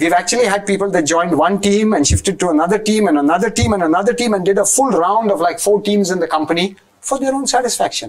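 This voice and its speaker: A man talks very fast at a high pitch. His intonation is lively. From Goa, India; India. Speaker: IT entrepreneur; interview guest. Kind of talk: interview. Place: studio.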